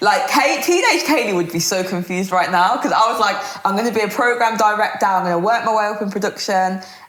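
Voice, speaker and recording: Amid noticeable background noise and audible room echo, a woman with a medium pitch talks at a very fast pace in an animated tone, with ordinary pitch variation and hardly any pauses. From Birmingham, England. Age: 20s. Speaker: radio presenter and DJ. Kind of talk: interview conversation.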